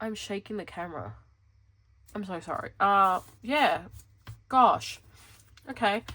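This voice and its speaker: In an animated, bright, sharp tone, a woman speaks at a fairly slow pace with long, frequent pauses, ordinary pitch variation and big swings in loudness. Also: medium pitch for a woman. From Western Australia (Perth). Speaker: planner vlogger. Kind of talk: casual chat. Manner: rambling, animated.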